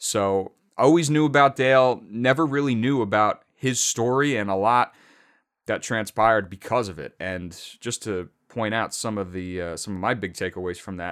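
The voice has an energetic tone at a moderate pace. The recording is very clean, with a silent background. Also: man, medium pitch for a man, lively intonation, big swings in loudness. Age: 20s. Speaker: motorsport podcast host. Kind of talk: solo podcast commentary.

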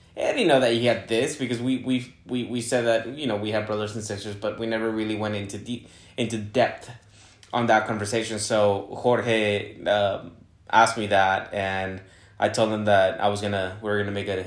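A man's fairly low, monotone, flat voice at a moderate pace, with audible room echo. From Guadalajara, Mexico. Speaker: podcast host, real estate agent. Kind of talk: casual chat.

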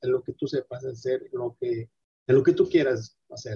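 The sound is close and dry, without echo. A man is talking fairly quickly. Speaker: entrepreneur, detergent manufacturer. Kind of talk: interview. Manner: halting, repeats words.

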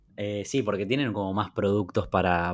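A man speaks at a moderate pace and a fairly low pitch in a normal speaking voice. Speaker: podcast co-host. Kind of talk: casual chat. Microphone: new microphone.

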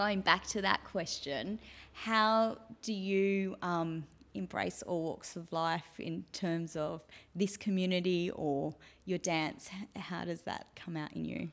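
The voice has an Australian accent and a very slow pace. Its pitch varies in an ordinary way. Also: woman, fairly low pitch for a woman. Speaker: podcast host, stylist. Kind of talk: interview.

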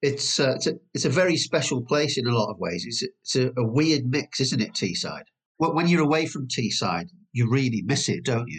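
Using vocal fry, a man talks fairly quickly at medium pitch with lively intonation. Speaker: podcast host. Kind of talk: casual interview chat.

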